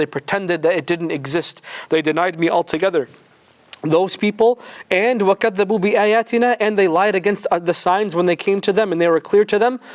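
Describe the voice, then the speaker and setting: Loud and animated, a man with a high pitch for a man talks at a fairly quick pace with ordinary pitch variation, the sound dry and close with no echo. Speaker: Quran teacher. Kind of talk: religious lecture.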